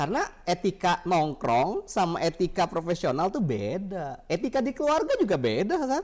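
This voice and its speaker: A moderate pace with hardly any pauses. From Jakarta, Indonesia. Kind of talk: casual advice conversation.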